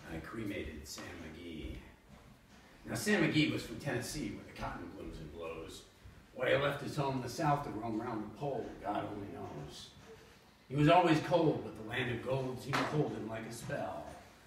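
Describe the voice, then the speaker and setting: A man puts on a gravelly character voice at a medium pitch, with very wide pitch swings, big jumps in loudness, a moderate pace and a slight echo. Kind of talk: poetry reading. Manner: dramatic.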